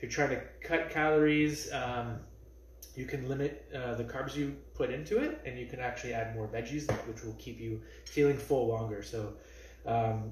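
A man's medium-pitched voice at a moderate pace, fairly even intonation, audible room echo

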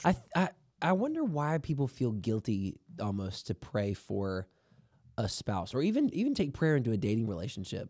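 A man's medium-pitched voice with very wide pitch swings, a dark, mellow tone, a moderate pace and a quiet background. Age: 30s. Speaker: podcast co-host. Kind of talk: casual chat. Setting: studio. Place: studio. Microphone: studio mic.

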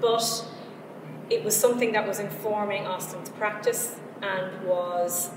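A woman is talking with noticeable background noise. Audible room echo is also present. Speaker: arts centre programmer. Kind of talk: formal introduction. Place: hall.

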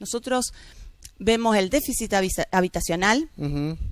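Against a quiet background, a woman speaks at a fairly slow pace with lively intonation. The sound is dry, with no echo. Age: 40s. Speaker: politician, mayoral candidate; politician, candidate. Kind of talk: TV interview. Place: studio.

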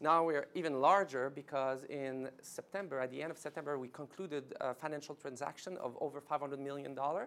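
At a fairly quick pace with few pauses, a man with a French Canadian accent uses a fairly high pitch, a fairly bright tone and ordinary pitch variation.

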